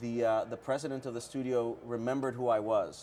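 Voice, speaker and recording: A man with a Spanish accent speaks at a fairly quick pace in a medium pitch. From Puerto Rico. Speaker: TV and comics writer. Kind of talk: interview. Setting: comic shop, live-streamed show. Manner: fast; animated.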